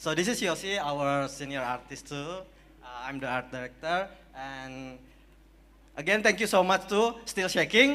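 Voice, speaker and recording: Speaking in an Indonesian accent, a man with a fairly high pitch talks at a fairly slow pace, his intonation lively and his loudness swinging widely. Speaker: game art director accepting award. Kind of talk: award acceptance speech. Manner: halting.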